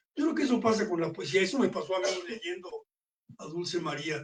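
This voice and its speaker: A man speaks with ordinary pitch variation. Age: 80s+. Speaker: book presenter. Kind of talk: book presentation talk.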